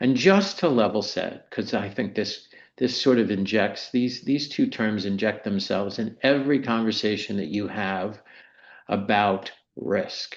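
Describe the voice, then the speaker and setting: Audible room echo surrounds a man speaking at a fairly slow pace. His pitch is fairly low, with ordinary variation. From US Mid-Atlantic (Maryland). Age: 60s. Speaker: insurance executive. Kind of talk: lecture.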